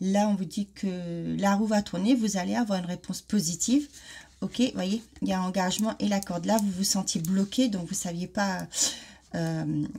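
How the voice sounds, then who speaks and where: A woman speaks at a fairly slow pace in a somewhat breathy, dark and mellow voice with fairly even intonation. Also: medium pitch for a woman. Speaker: card reader. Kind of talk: oracle card reading. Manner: hesitant, many fillers.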